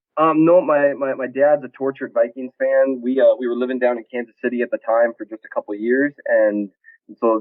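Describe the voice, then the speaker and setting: Fairly quick delivery from a man with a medium pitch and an American accent. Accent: Minnesota, sometimes strong. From Minnesota. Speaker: sports blog editor. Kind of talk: podcast interview. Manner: casual, hesitant with fillers.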